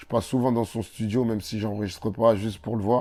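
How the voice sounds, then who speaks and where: A man speaks at a medium pitch in a dark, mellow tone. His intonation stays fairly even. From Comorian heritage, France. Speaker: rapper. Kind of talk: interview.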